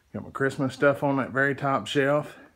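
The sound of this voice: The tone is fairly bright, with ordinary pitch variation. The pace is moderate. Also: man, medium pitch for a man.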